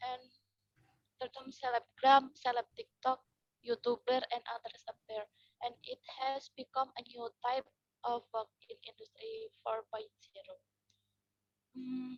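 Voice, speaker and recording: The soft-spoken voice moves at a fairly slow pace with long, frequent pauses, big swings in loudness and fairly even intonation, in a dry, close sound with no echo. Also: woman, high pitch for a woman. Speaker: summer course participant. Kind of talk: group presentation. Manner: halting. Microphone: too quiet.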